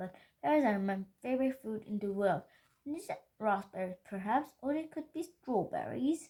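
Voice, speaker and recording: A woman puts on a sing-song character voice at a fairly high pitch, speaking at a moderate pace. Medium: read story. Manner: singsong.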